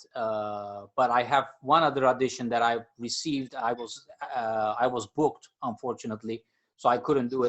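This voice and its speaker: A man talks at a moderate pace with a Turkish accent. His pitch is medium and his intonation fairly even. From Turkey. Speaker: jazz percussionist and music professor. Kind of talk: podcast interview. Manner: hesitant, many fillers.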